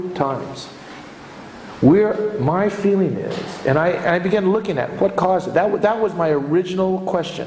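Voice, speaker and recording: Noticeable background noise runs throughout. The voice belongs to a man. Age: 60s. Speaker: economics lecturer. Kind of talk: lecture. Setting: lecture hall with audience.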